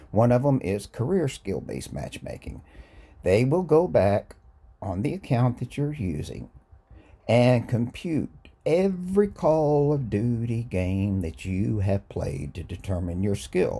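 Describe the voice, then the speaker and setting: Somewhat breathy and dark, mellow in tone, the voice moves at a fairly slow pace with very wide pitch swings. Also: man, medium pitch for a man. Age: 60s. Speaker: gaming YouTuber. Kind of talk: casual gaming talk to camera. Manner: casual, hesitant with fillers.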